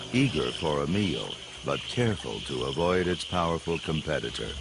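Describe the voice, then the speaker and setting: Over noticeable background noise, the voice swings very widely in pitch. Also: man. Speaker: nature documentary narrator. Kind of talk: nature documentary narration, scripted and poetic. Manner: measured, hushed and dramatic, with a slow, storytelling cadence; formal, polished and evocative.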